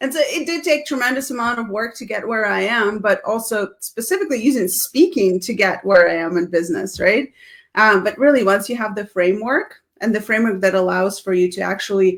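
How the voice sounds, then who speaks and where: The speaker has a Russian accent, lively intonation and a moderate pace. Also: woman. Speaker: speaking coach and business founder. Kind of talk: casual interview chat on live video. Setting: live video stream. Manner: animated.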